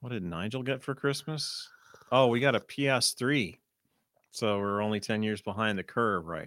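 On a very clean recording with a silent background, a man with an unremarkable speaking voice talks at a fairly slow pace, his medium pitch showing ordinary pitch variation. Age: 40s. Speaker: performance poet and podcast co-host. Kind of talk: poetry performance; casual chat. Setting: studio.

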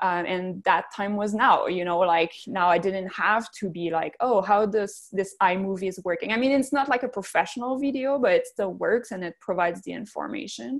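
Speaking with a Quebec French accent, a woman talks at a moderate pace with hardly any pauses, her medium-pitched voice rising and falling with lively intonation. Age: 30s. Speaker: physiotherapist and business owner. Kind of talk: interview.

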